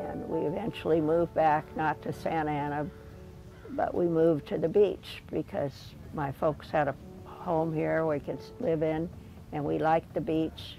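Faint music plays in the background. A woman with a very deep, low pitch speaks at a moderate pace. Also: ordinary pitch variation, dry sound with no echo. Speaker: interviewee. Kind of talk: interview answer. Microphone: lapel.

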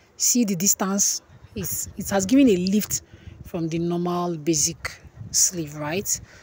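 This woman has a fairly low pitch and a dark, mellow tone. Her voice is somewhat breathy, with ordinary pitch variation. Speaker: sewing instructor. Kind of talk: tutorial.

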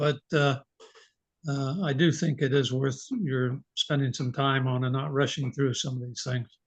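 A man with a fairly high pitch and a somewhat breathy voice speaks at a fairly slow pace with fairly even intonation. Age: 80s+. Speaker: resident giving public comment. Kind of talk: public comment.

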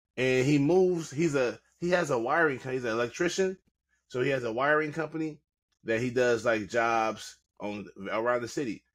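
A man at a moderate pace, ordinary pitch variation, quiet background. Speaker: podcast co-host. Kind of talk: casual movie plot recap. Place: home room.

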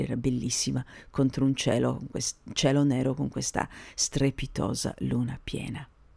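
Moderately paced speech from a woman, recorded very cleanly against total silence. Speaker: podcaster. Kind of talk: casual spoken podcast monologue.

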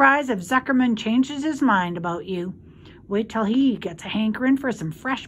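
Lively intonation in a natural reading voice

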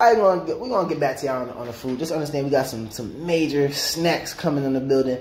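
Light background noise and audible room echo accompany speech at a moderate pace with ordinary pitch variation. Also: man. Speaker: fitness vlogger. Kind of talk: casual vlog chat. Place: home room. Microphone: phone near.

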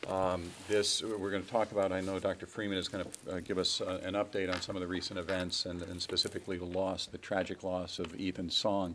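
Over noticeable background noise, a man with a very deep, low pitch talks at a fairly quick pace in a monotone, flat intonation with hardly any pauses. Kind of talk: formal meeting remarks. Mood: somber, grieving tone. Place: hall.

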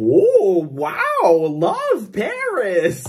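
The pitch is in the middle range. The voice is a put-on character voice. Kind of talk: casual vlog chat. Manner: bubbly, exaggerated.

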